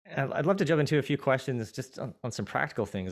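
A man is speaking. His pitch varies by an ordinary amount. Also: very clean recording, silent background. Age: 40s. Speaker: podcast host. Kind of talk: casual chat. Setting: studio.

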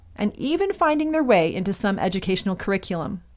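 A woman's medium-pitched voice, fairly quick, with lively intonation. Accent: Midwestern American. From US Midwest, Michigan. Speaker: podcast host, mother. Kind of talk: scripted monologue. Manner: animated.

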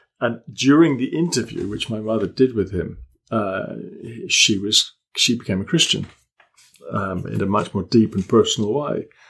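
A man with an English accent speaks at a moderate pace and medium pitch, with ordinary pitch variation and long, frequent pauses. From Malta, British family. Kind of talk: interview.

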